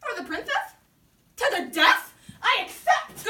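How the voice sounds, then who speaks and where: A woman's put-on character voice, squeaky and extremely high-pitched, with very wide pitch swings, a fairly slow pace and a slight echo. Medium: stage play. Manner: calm, dry.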